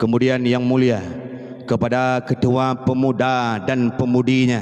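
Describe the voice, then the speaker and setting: A man talks while noticeable background noise is present. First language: Acehnese (speaking Indonesian). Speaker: Islamic preacher. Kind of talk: sermon. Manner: animated.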